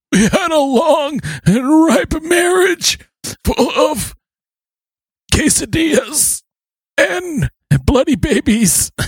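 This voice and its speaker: High-pitched and put on as a character voice, the speech moves at a very slow pace with long, frequent pauses. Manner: comedic, mocking.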